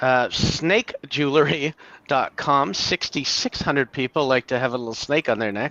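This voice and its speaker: This man has an ordinary speaking voice with a Canadian accent. His pitch is fairly high, with ordinary variation, at a moderate pace. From Canada. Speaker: domain name investor. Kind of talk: casual chat.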